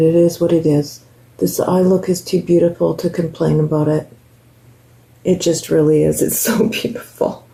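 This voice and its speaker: This woman talks at a moderate pace in a fairly low pitch with ordinary pitch variation. Noticeable background noise runs behind her. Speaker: beauty vlogger. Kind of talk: makeup tutorial. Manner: casual, chatty.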